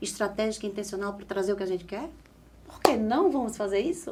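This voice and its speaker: A woman with a northeastern Brazilian accent speaks at fairly high pitch. Noticeable background noise and audible room echo fill the recording. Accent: Northeastern Brazilian, drawling. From Northeast Brazil, Caruaru, Pernambuco. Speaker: pharmaceutical sales specialist and communication coach. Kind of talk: podcast interview.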